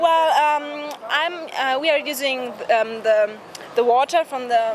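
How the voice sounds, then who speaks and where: A woman's high voice with a German accent at a very slow pace, with audible room echo and crowd noise in the background. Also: ordinary pitch variation. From Germany. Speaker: passer-by in costume. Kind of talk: street interview. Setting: outdoors on a street on Halloween. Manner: halting, many fillers.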